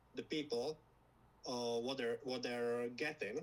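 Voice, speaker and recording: With a Slovak accent, a man speaks at a medium pitch. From Slovakia. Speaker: lab founder. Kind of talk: interview. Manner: halting.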